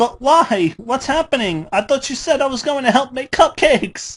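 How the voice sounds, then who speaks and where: Using a put-on character voice, a woman speaks high in pitch. Her pace is moderate. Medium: read story. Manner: breathless, pleading.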